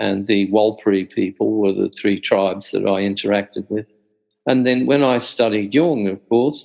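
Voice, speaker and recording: With an Australian accent, a man talks at a moderate pace in a fairly low pitch, with ordinary pitch variation. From central Australia. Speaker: Jungian scholar. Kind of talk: interview.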